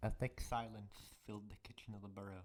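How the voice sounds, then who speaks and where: Moderate delivery from a man with a fairly low voice. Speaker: audiobook narrator. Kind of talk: read fan fiction story. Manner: occasional pauses and falters.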